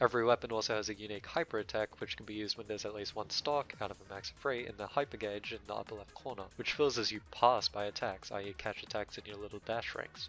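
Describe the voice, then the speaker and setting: A man's very fast delivery with hardly any pauses, fairly low pitch, fairly even intonation and big swings in loudness, with music in the background. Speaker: game reviewer. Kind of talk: video game review narration. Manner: dry, joking.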